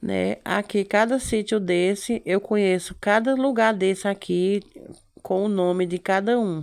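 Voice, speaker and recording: A woman speaks at a fairly slow pace with fairly even intonation and very even loudness against a quiet background. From Brazil, rural Northeast (Pernambuco interior). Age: 40s. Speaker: lifestyle vlogger. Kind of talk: casual travel vlog. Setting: in a car. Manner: chatty, repetitive fillers. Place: car. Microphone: phone near.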